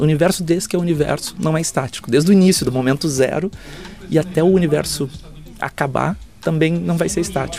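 Music plays in the background as a man speaks at a fairly high pitch. His intonation is lively. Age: 40s. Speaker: futurist and speaker. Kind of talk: interview. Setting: backstage at an event. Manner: hesitant with repetitions.

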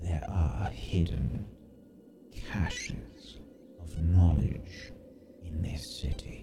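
A man's put-on character voice, very deep and low, at a very slow pace with long, frequent pauses over clear background noise. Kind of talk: archaic formal fantasy speech. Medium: actual play. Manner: formal, measured, guarded.

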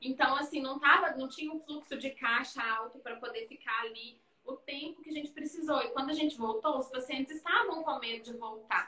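A woman speaks in a raised, projected voice at a high pitch and a fairly quick pace, with hardly any pauses, big swings in loudness and ordinary pitch variation. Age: 30s. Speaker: physiotherapist and business owner. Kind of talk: casual interview on Instagram live. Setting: video live stream from her clinic.

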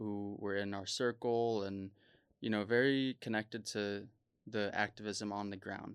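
Speaking at a fairly slow pace, a man has a fairly low voice and an American accent. The recording is very clean, with a silent background. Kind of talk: panel discussion. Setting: conference.

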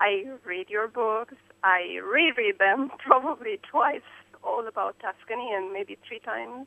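In an Eastern European accent, a woman with a fairly high pitch speaks with big swings in loudness. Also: ordinary pitch variation, fairly slow pace. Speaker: caller. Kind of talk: call-in conversation. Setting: phone call. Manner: excitable.

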